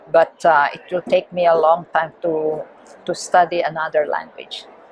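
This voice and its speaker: A woman speaks at a fairly low pitch in a Filipino accent. Her intonation is monotone and flat, at a moderate pace. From Philippines. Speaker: missionary and theology teacher. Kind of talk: interview. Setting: conference. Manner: halting.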